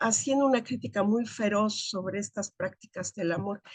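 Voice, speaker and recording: A normal speaking voice from a woman, at a fairly slow pace with ordinary pitch variation, dry and close with no echo. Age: 60s. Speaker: academic. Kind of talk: seminar discussion.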